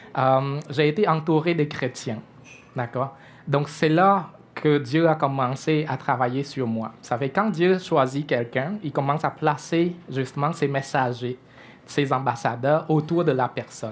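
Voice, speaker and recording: With a Cambodian accent, the voice moves at a fairly slow pace with ordinary pitch variation. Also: man, fairly high pitch for a man. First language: Khmer (speaking French). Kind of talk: testimony. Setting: church breakfast event before audience. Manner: hesitant, many fillers.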